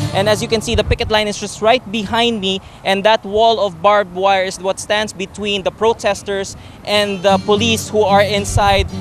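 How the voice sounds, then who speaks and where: Music plays in the background as a man talks at a fairly quick pace. His intonation is monotone and flat, and the sound is dry with no echo. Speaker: field news reporter. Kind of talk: live news report. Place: street. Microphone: handheld.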